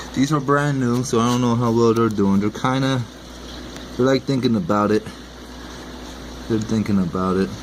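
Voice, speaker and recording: With noticeable background noise, a man mumbles in a relaxed tone at a moderate pace and medium pitch, his loudness very even, his pitch variation ordinary, and his pauses long and frequent. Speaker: aquarium hobbyist vlogger. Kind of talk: casual video commentary. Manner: mumbling; relaxed, rambling.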